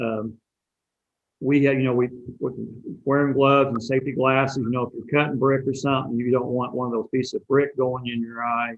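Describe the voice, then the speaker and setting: This man speaks in an ordinary speaking voice, medium in pitch and fairly even in intonation. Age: 60s. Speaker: bricklayer apprenticeship director. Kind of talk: interview.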